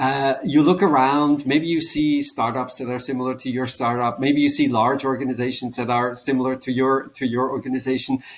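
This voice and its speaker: A man speaks with a Swiss German accent at a fairly quick pace. His intonation stays monotone and flat. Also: medium pitch for a man, hardly any pauses. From German-speaking Switzerland. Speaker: business professor and author. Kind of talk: interview.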